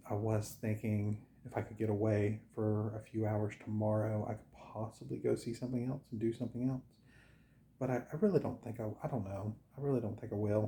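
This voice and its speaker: This man's voice is somewhat breathy and medium in pitch. He speaks at a moderate pace. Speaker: travel vlogger. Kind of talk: casual vlog talk to camera. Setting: indoors at a home at night, others asleep. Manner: halting, many fillers; quiet, keeping voice down.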